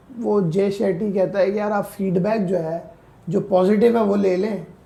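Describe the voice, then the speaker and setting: A man's high-pitched voice with a dark, mellow tone, fairly even intonation and a moderate pace, in audible room echo. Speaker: personal branding coach. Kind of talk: podcast interview.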